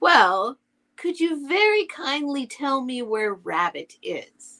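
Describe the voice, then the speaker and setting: A woman uses a put-on character voice, high-pitched with very wide pitch swings. She talks at a very slow pace. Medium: read story. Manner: gentle, simple.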